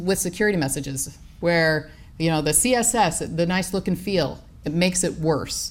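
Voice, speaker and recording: Audible room echo surrounds a woman's voice. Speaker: professor. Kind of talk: conference talk. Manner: fast.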